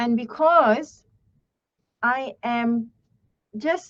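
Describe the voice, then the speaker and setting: Ordinary pitch variation comes through in a Malaysian accent. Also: woman. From Malaysia, Terengganu. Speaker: English teacher. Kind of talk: online lesson. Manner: hesitant, many fillers.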